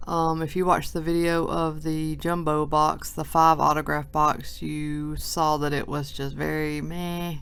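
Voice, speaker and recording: At a fairly slow pace with hardly any pauses, the voice carries audible room echo. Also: woman. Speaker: sports card collector. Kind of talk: box break video. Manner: casual, chatty.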